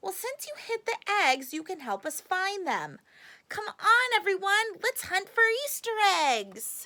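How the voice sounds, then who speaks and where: Slowly, at a fairly unhurried pace, a woman talks. Her put-on character voice sits extremely high. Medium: read story. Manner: sweet, chirpy.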